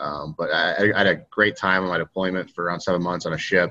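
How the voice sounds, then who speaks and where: With an American accent, a man speaks very fast in a very deep, low pitch and a bright, sharp tone. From US Midwest, Northeast Ohio. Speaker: former pro football player and navy veteran. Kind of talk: casual interview.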